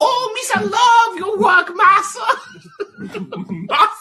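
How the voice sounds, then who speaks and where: A put-on character voice, extremely high in pitch, moves along at a fairly slow pace. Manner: goofy, silly.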